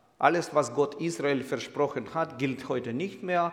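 Using an unremarkable speaking voice, a man talks at a fairly slow pace with a fairly high pitch and ordinary pitch variation. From Ukraine, Kyiv. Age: 60s. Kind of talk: sermon-style lecture; interview.

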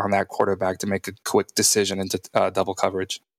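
A man with an American accent speaks on a very clean recording with a silent background and a dry, close sound that has no echo. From Texas. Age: 30s. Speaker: former pro football player. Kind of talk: casual chat.

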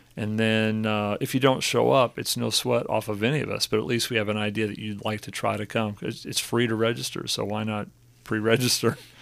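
In a very clean recording with a silent background, a man with a normal speaking voice talks fairly quickly at a fairly low pitch with fairly even intonation. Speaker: church pastor. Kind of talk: casual podcast interview. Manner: relaxed, joking.

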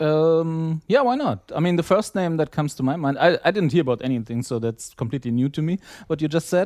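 Over a quiet background, a man talks at a very fast pace and fairly high pitch with lively intonation, in a dry, close sound with no echo. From East Germany. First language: German. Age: 30s. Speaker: wrestling fan, podcast listener. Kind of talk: casual chat.

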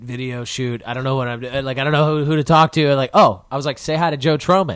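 A man with an American accent has an unremarkable speaking voice. His pitch is medium, with ordinary pitch variation. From Chicago area. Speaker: filmmaker and actor. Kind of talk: casual interview chat. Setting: apartment.

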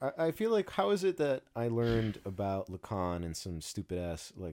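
In a very clean recording with a silent background, a man speaks at medium pitch. His moderate pace comes through in a dry, close sound with no echo. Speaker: podcast co-host. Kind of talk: casual chat.

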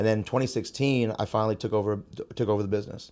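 A man speaks very fast with an American accent. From San Jose, California. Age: 30s. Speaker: martial arts school owner. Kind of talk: casual chat.

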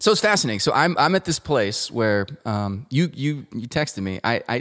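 A man with a plain, everyday voice, medium pitch, lively intonation and a fairly quick pace. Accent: American. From Colorado, US. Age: 30s. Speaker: musician and producer. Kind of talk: casual interview chat.

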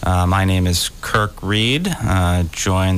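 Over noticeable background noise, a man speaks in a very deep, low pitch with ordinary pitch variation. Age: 40s. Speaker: radio co-host. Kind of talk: financial talk radio. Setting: radio studio.

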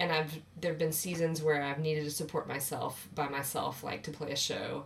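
A woman speaks at a moderate pace with a low pitch and little pitch movement. Vocal fry shows up in her voice.

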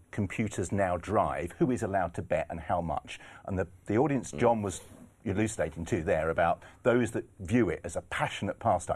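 A man's fairly low, normal speaking voice with lively intonation at a moderate pace, against a quiet background. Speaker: horse racing pundit. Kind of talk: casual chat.

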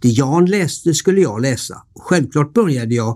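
A man talks at a moderate pace in a dark, mellow, somewhat breathy tone, his pitch swinging very widely. The recording is very clean, with a silent background. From Sweden, Varberg (Halland). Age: 60s. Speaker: hotel owner telling his life story. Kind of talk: scripted narration. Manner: formal.

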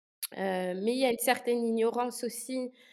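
Speaking at a very slow pace with ordinary pitch variation, a woman is heard on a very clean recording with a silent background. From Luxembourg. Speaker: student. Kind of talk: casual interview.

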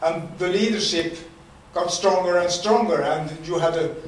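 With a Swedish accent, a man speaks in a high pitch and fairly even intonation over noticeable background noise. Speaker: retired dock worker. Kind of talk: talk. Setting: stage with audience.

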